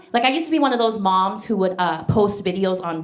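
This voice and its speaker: Music plays in the background as a woman speaks. The room echo is audible. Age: 40s. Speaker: stand-up comedian. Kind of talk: stand-up. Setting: stage with audience.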